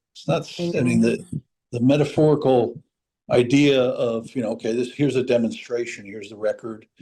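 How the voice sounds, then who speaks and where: His voice has a dark, mellow tone and a medium pitch with ordinary variation. The man's loudness swings a lot. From New England. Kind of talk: casual chat.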